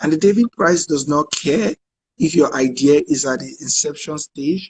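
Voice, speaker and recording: Somewhat breathy, a man with a fairly high pitch and ordinary pitch variation is heard in a dry, close sound with no echo. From Nigeria. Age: 30s. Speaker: refugee shelter director and activist. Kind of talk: live online conversation.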